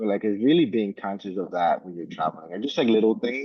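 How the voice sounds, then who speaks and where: Delivered very fast in a Spanish accent, the speech has lively intonation. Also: man. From New York (Bronx) and Dominican Republic. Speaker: travel company founder. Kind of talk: panel discussion. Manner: many fillers like 'like' and 'um'.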